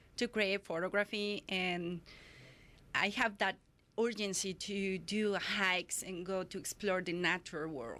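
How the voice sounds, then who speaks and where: On a very clean recording with a silent background, a woman speaks at a fairly slow pace in a bright, sharp tone. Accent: Spanish. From Mexico City. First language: Spanish. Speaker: photographer. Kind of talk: interview. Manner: halting.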